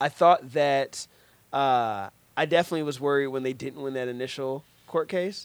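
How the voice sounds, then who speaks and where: A man with an American accent, fairly high pitch and ordinary pitch variation, at a moderate pace, a plain, everyday voice, on a very clean recording with a silent background. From US Midwest, Cincinnati, Ohio. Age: 20s. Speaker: podcast host, movie reviewer. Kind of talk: casual chat. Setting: studio.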